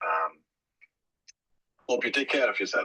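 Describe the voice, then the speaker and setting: Dry and close, a man's voice is heard with no echo at all. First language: not English. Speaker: social media space participant. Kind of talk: group discussion. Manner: hesitant, many fillers.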